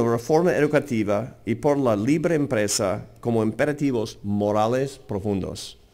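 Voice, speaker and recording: This man has an American accent and lively intonation. He talks at a fairly slow pace. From US, Seattle. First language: English (speaking Spanish). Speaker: think tank president. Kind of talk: lecture. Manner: halting.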